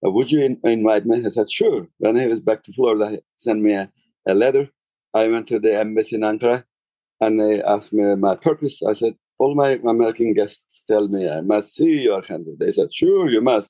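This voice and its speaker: A man with a Turkish accent speaks at a fairly quick pace in a medium pitch. His tone is dark and mellow, and the sound is dry and close with no echo. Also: ordinary pitch variation. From Turkey. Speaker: tour guide. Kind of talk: interview. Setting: remote interview from Istanbul. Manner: halting.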